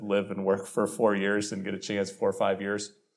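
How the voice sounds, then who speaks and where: A man with an American accent, fairly low pitch, very fast pace, audible room echo. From Illinois, US Midwest. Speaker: government energy official. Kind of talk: live interview at public event. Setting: stage with live audience.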